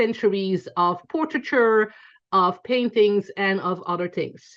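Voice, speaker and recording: A woman with a Belgian accent speaks at a fairly slow pace. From Belgium, Antwerp. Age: 40s. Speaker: photographer teaching a class. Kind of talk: online class lecture.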